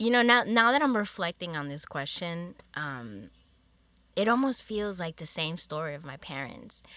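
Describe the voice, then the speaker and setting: On a very clean recording with a silent background, a woman with a fairly low pitch and a bright, sharp tone speaks at a moderate pace, with very wide pitch swings and big swings in loudness. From Peru. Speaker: filmmaker and photographer. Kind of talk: casual interview.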